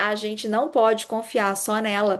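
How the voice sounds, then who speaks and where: Over a quiet background, a woman speaks in a normal speaking voice at a fairly slow pace and a fairly high pitch. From Brazil, Minas Gerais (Juiz de Fora). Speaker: urologist giving a medical lecture. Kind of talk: lecture.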